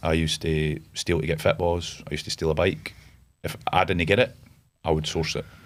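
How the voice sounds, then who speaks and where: In a Scottish Borders accent, a man talks at a fairly quick pace with a very deep, low pitch and fairly even intonation. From Scotland (Galashiels, Scottish Borders). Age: 30s. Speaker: entrepreneur, army veteran. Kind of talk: podcast interview. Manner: casual, hesitant with many fillers.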